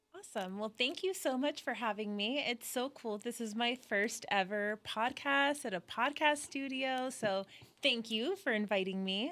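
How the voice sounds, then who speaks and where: A woman with a Southern California accent speaks at a moderate pace in a high pitch with a bright, sharp tone, lively intonation and hardly any pauses, on a very clean recording with a silent background. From Southern California, Orange County. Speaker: social media content creator. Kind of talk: casual interview chat. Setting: podcast studio.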